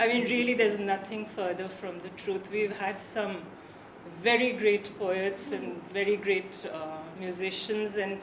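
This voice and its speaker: A woman speaks at a fairly slow pace with fairly even intonation. Audible room echo and noticeable background noise are present. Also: medium pitch for a woman. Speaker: author and translator. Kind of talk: conversation.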